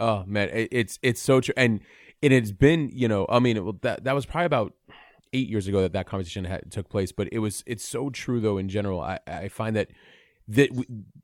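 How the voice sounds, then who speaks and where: This is a plain, everyday voice, a man speaking at a fairly quick pace with a fairly low pitch and ordinary pitch variation. The recording is very clean, with a silent background. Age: 40s. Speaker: podcast host. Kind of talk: casual interview.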